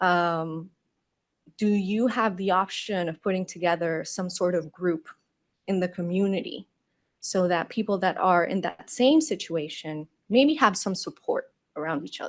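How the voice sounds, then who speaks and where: A woman with a non-native accent speaks at a moderate pace in a medium pitch. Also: ordinary pitch variation, quiet background. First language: not English. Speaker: UX designer. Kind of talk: conference Q&A answer. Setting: conference stage with audience.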